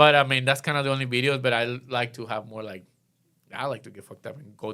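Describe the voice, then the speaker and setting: A man talks at a very fast pace with a bright, sharp tone at medium pitch. The recording is very clean, with a silent background. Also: big swings in loudness. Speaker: electronic music event promoter. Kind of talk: casual interview. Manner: halting, repetitive.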